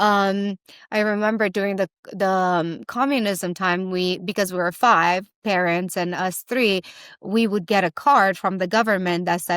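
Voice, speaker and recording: A woman speaks at a fairly slow pace in a Romanian accent, her pitch medium and her intonation fairly even. The recording is very clean with a silent background, and the sound is dry and close with no echo. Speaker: entrepreneur. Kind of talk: interview. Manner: halting.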